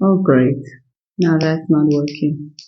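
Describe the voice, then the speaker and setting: The speech moves at a very slow pace. Its pitch variation is ordinary. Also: woman. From South Africa. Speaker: motivational vlogger. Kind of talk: casual vlog monologue. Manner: animated. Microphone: cheap Bluetooth microphone.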